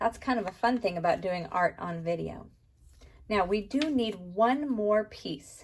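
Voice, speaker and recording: Speaking at a fairly slow pace, a woman uses lively intonation at a medium pitch, her voice somewhat breathy. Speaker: art teacher. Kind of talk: tutorial.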